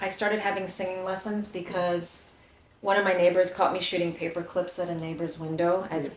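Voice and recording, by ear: A woman talks at a fairly quick pace and a medium pitch. Audible room echo surrounds her voice.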